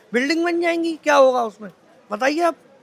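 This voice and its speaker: Over crowd noise in the background, a man talks in an extremely high pitch. His tone is animated, with ordinary pitch variation. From India, Vrindavan (Braj region). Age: 40s. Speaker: local shopkeeper. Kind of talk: street interview.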